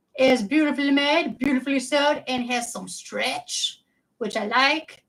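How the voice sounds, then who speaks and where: At a moderate pace, a woman speaks with a high pitch. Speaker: doll collector streamer. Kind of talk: casual livestream chat. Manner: animated.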